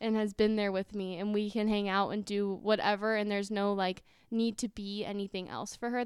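A woman's medium-pitched, flat monotone in an American accent, fairly quick with hardly any pauses, on a very clean recording with a silent background. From California suburbs. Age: 20s. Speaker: podcast co-host. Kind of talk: casual chat.

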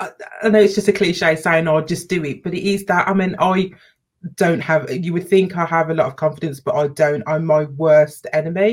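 A woman with a British accent talks at a fairly quick pace with fairly even intonation. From UK, Jamaican parents. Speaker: youtuber. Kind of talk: casual chat.

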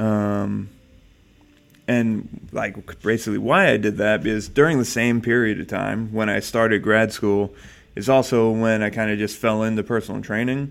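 A man with a plain, everyday voice speaks at a moderate pace in a fairly low pitch with fairly even intonation. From New Jersey. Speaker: fitness coach and podcast co-host. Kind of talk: casual chat.

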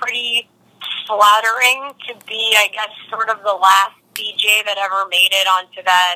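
In a dry, close sound with no echo, a woman talks at a moderate pace. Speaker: DJ and interview guest. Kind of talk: casual interview chat. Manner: relaxed, self-deprecating, hesitant with fillers.

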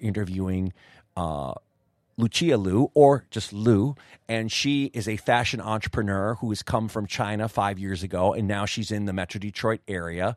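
A man's plain, everyday voice, fairly low in pitch, at a moderate pace with ordinary pitch variation, dry and close with no echo, in a very clean recording over a silent background. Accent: American. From United States. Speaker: podcast host. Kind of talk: interview. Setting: hotel.

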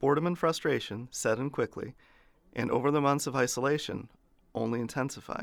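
Using an ordinary speaking voice, a man talks at a fairly quick pace and a medium pitch with fairly even intonation. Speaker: history podcast host. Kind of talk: history documentary narration, scripted and read aloud. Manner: formal, steady, measured; even and authoritative, little emotion.

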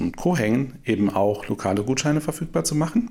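A man at a fairly quick pace. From Saarland, Germany. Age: 40s. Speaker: startup co-founder. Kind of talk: interview. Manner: filler-heavy, hesitant.

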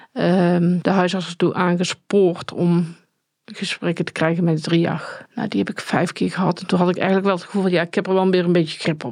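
A woman with a fairly low voice speaks in a flat monotone, her loudness swinging widely. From Netherlands, Tilburg area (North Brabant). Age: 40s. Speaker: survivor and perpetrator of domestic violence. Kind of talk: personal testimony interview. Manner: halting, many hesitations.

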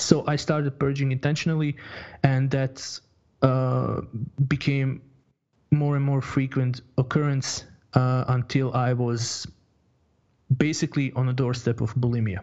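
A man's medium-pitched voice with a Croatian accent, monotone and flat, at a fairly slow pace broken by long, frequent pauses. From Croatia (born in Bosnia). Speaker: online fitness coach. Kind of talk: interview. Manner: halting, many fillers and repetitions.

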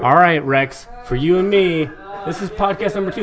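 Noticeable background noise behind fairly quick talking. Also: man. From Eugene, Oregon, US. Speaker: former pro wrestler, announcer and beer podcast co-host. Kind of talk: casual chat, beer and MMA talk.

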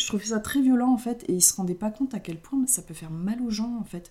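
A somewhat breathy woman's voice, fairly high in pitch with a dark, mellow tone, ordinary pitch variation and a fairly quick pace. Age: 20s. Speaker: podcast co-host. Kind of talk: casual chat.

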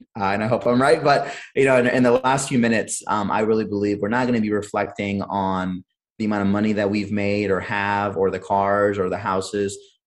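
A man with an American accent has an ordinary speaking voice, a fairly low pitch and fairly even intonation. He talks at a fairly quick pace with hardly any pauses, over a quiet background. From US Midwest, Cleveland, Ohio. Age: 30s. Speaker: entrepreneur and Marine veteran. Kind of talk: interview conversation.

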